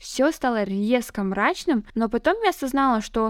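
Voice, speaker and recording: In a very clean recording with a silent background, a woman with a plain, everyday voice speaks at a fairly slow pace, her pitch fairly high with ordinary variation. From northern Kazakhstan. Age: 20s. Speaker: podcaster, translator. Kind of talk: solo podcast monologue. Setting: at home.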